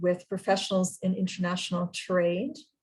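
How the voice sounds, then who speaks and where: The voice is somewhat breathy and carries a Canadian accent. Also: woman. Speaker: university representative introducing speakers. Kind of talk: formal webinar introduction. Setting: online webinar.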